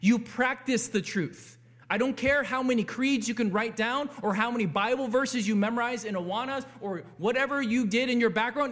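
The voice is loud, at a moderate pace. Pitch variation is ordinary. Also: man. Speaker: pastor. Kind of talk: sermon. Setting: church.

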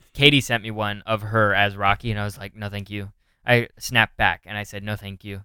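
Using an American accent, a man speaks in a fairly low pitch with monotone, flat intonation and big swings in loudness. The sound is dry and close with no echo, in a very clean recording against a silent background. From Northern California. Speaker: podcast host, comedian. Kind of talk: casual chat. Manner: casual, filler-heavy.

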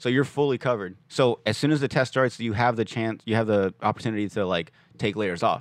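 In a normal speaking voice, a man talks at a fairly quick pace, medium in pitch with ordinary variation, over a quiet background. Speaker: podcaster. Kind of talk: casual chat. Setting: studio.

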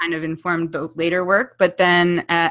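Over a quiet background, a woman with a fairly low voice speaks at a moderate pace. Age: 30s. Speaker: events company co-founder. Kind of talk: interview. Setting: remote call.

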